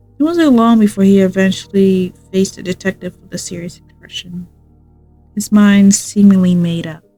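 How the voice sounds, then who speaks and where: Music plays in the background as a woman talks at a moderate pace in a medium pitch with ordinary pitch variation. Her loudness swings widely. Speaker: streamer. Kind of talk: reading aloud. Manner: halting.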